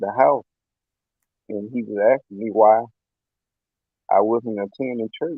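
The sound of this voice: A man with a fairly low pitch and vocal fry talks at a fairly slow pace, with ordinary pitch variation and a dry, close sound with no echo.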